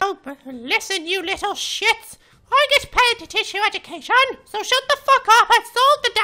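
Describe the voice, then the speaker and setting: A female-sounding voice shouts in a put-on character voice at an extremely high pitch. The pace is moderate. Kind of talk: comic overacting. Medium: machinima. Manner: exasperated, shouting, swearing.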